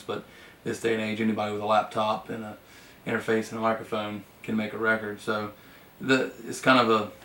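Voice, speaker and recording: Speaking in a fairly low pitch with a Southern US accent, a man keeps a fairly quick pace. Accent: Southern country dialect. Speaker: country singer-songwriter. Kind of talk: interview. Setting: studio. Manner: hesitant, many fillers.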